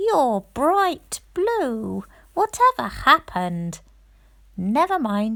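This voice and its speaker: With a very clean recording and silent background, a woman puts on a high-pitched character voice and speaks very slowly. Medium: read story.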